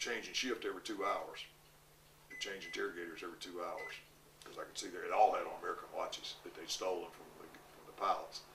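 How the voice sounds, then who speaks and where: Audible room echo surrounds a man who speaks at a very fast pace. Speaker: war veteran. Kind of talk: oral history interview. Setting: interview recording.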